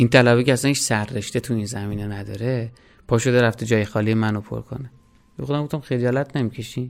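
Very fast male speech, medium in pitch and fairly even in intonation. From Iran, Hamadan. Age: 30s. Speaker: hospital volunteer and student. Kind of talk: personal testimony.

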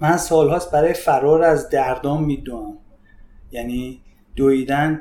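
This man has an unremarkable speaking voice, fairly high in pitch for a man. He talks at a fairly slow pace. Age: 40s. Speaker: fitness coach and judoka. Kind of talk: casual chat.

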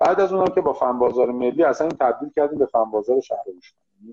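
A man is speaking. His pace is very fast. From Iran, Shiraz. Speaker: municipal IT agency director. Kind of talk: interview. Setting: Instagram live video call.

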